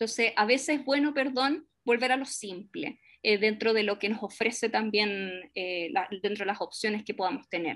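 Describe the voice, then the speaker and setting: Moderate pace, hardly any pauses, and ordinary pitch variation. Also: woman, fairly high pitch for a woman. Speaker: lecturer and teacher educator. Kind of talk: Q&A after a seminar talk. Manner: hesitant, many fillers.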